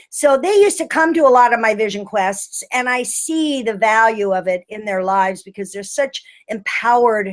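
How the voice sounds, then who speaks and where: A woman with an unremarkable speaking voice talks at a moderate pace and a fairly high pitch, her lively intonation flowing with hardly any pauses. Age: 60s. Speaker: healing arts teacher and retreat leader. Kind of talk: webinar presentation. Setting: online webinar.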